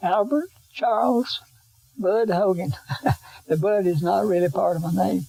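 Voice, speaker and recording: An Appalachian accent with long, frequent pauses. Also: man, high pitch for a man, lively intonation, fairly slow pace. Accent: Appalachian Southern US. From western North Carolina. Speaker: oral history interviewee. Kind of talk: interview.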